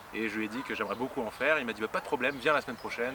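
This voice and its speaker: A male voice is heard. Its intonation remains fairly level. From Paris region, France. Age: 30s. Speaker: improv actor. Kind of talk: interview. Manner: halting, many fillers.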